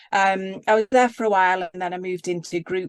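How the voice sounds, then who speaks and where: The sound is dry and close, with no echo. A woman speaks with a Yorkshire accent. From Yorkshire, northern England. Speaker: leadership coach. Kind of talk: casual interview.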